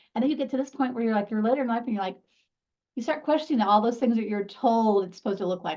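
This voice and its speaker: With ordinary pitch variation, the woman talks at a fairly high pitch. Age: 50s. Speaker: magazine creator. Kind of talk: casual chat.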